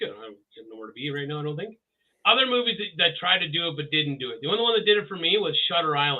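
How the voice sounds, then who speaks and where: Racing along at a very fast pace, a man with a Canadian accent talks in a fairly high pitch that swings very widely. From Canada. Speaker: podcast co-host. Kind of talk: casual chat. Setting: live stream with audience.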